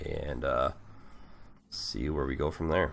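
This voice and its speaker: A man talks with noticeable vocal fry. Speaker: gaming YouTuber. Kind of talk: gameplay commentary. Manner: casual, hesitant with fillers.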